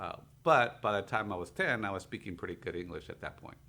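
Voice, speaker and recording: A man with a Spanish accent, a fairly low pitch and a bright, sharp tone. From Mexico-born, raised in Torrance, California. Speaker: financial services business owner. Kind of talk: radio interview. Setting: radio studio. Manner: hesitant with fillers.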